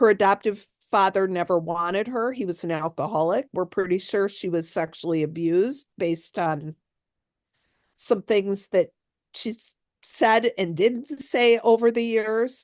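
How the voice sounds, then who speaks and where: A woman talks in a normal speaking voice at medium pitch, with ordinary pitch variation and a fairly slow pace. The sound is dry and close with no echo, over a quiet background. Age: 60s. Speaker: author. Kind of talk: interview.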